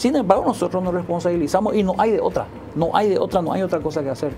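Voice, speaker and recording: At a very fast pace, a woman talks over noticeable background noise. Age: 60s. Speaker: educator. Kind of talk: TV interview. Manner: halting.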